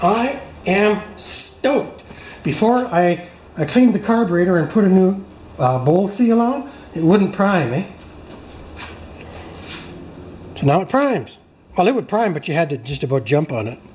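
At a moderate pace, a man's voice shows very wide pitch swings and long, frequent pauses, with audible room echo and light background noise. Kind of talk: casual repair tutorial commentary. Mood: happy, enthusiastic. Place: garage.

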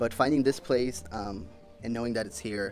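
At a fairly quick pace, a man speaks over faint music in the background. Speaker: travel vlogger. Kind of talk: casual vlog chat. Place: gym. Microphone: phone near.

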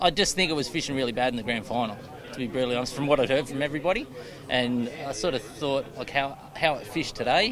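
Crowd noise fills the background as a man speaks. His pace is fairly quick, and the sound is dry with no echo. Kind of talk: interview answer. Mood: relaxed, smiling. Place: street.

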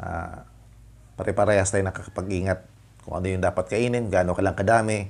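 A man speaks at a fairly quick pace in a very deep, low voice with fairly even intonation. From Philippines. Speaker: vlogger; diabetic vlogger. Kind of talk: product review vlog. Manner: halting, many fillers. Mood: friendly, smiling. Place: home room. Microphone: lapel.

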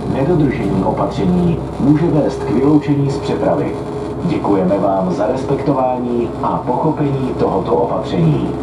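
Loud noise sits behind a man who talks at a moderate speed. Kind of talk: public announcement. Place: train. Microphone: pa.

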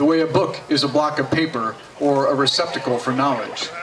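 A man talks at a fairly quick pace in an animated, playful tone. His pitch varies in an ordinary way over light background noise. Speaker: poet performing at a party. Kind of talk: poetry performance, read aloud with playful delivery. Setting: party with audience, microphone sound check. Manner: animated, playful, comic. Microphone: camera far.

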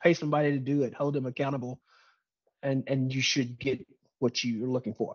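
The recording is dry with no echo and a quiet background. A man talks at a fairly quick pace. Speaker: webinar presenter. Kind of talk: lecture. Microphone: webcam.

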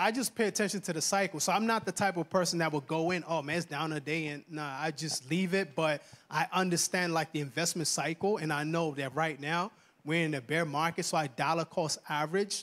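A man speaks in an ordinary speaking voice, fairly high in pitch with ordinary pitch variation, at a fairly quick pace on a very clean recording with a silent background. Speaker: financial educator. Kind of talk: motivational financial seminar talk in church. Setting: church with live audience. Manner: earnest, engaging, conversational, asks audience to respond.

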